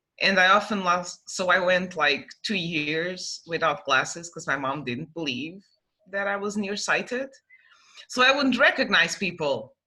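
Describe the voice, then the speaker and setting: Woman with a Portuguese accent, medium pitch, bright, sharp tone, lively intonation and a fairly slow pace. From Portugal. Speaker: young adult novelist. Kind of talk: casual interview chat.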